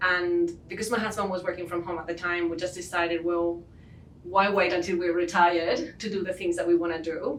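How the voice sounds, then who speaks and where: A woman's fairly low-pitched voice with a Spanish accent, fairly quick, fairly even in intonation, with audible room echo and noticeable background noise. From southern Spain, Cádiz. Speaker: leatherworker and business owner. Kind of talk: interview.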